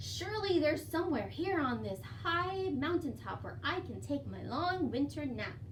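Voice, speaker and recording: A woman performs a put-on character voice with hardly any pauses. Background noise is clear. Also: moderate pace. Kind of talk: bedtime story. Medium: read story. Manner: grumbling, drowsy.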